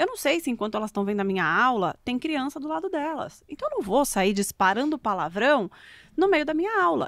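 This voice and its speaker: Her pitch swinging very widely, a woman talks at a very fast pace. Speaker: communication mentor and speaker. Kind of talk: podcast interview. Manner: animated.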